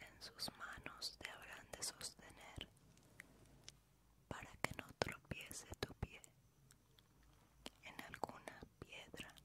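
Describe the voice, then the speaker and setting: Soft-spoken whispering with long, frequent pauses. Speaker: ASMR creator. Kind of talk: soft-spoken scripture reading. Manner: slow soft ASMR whisper.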